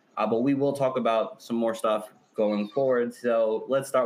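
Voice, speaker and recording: Noticeable background noise accompanies a man speaking at a moderate pace and medium pitch. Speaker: fantasy football podcast host.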